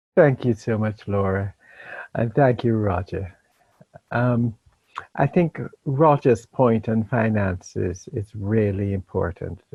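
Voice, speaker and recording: A man with a Jamaican accent speaks at a fairly low pitch, very slowly, with long and frequent pauses. His voice is somewhat breathy. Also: ordinary pitch variation. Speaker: meditation teacher. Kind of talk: talk to a meditation group.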